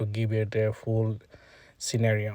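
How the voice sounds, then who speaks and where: With a Bangladeshi accent, a man speaks at medium pitch in a dark, mellow, somewhat breathy tone, recorded with a dry, close sound and no echo. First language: Bengali. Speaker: traffic engineer demonstrating software. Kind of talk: screen-recorded tutorial. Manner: halting, many filler sounds.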